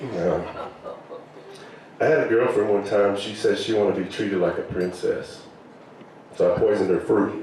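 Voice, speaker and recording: Amid noticeable background noise and audible room echo, a man with a Southern accent speaks at a moderate pace, leaving long, frequent pauses. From US South (Arkansas). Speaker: comedian. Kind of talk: stand-up. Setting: stage with audience.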